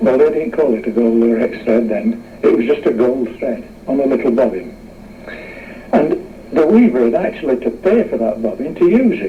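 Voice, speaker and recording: Noticeable background noise surrounds a man speaking at a medium pitch. His intonation is lively. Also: moderate pace. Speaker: mill engineer. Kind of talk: interview answer. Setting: radio interview recording.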